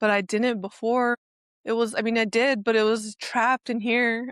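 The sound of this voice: In a dry, close sound with no echo, a woman speaks at a fairly slow pace with a fairly high pitch, ordinary pitch variation and a clear, smooth tone.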